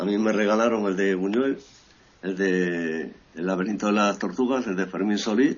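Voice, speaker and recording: Fairly even intonation and a moderate pace in a man's normal speaking voice, fairly low in pitch. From Equatorial Guinea, born in Ferrol, Spain. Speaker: journalist. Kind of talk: interview.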